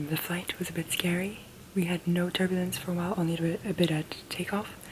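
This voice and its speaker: A woman talks at a very fast pace, soft-spoken and fairly low-pitched, in a monotone, flat intonation. Noticeable background noise runs underneath. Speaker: vlogger. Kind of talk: casual vlog talk.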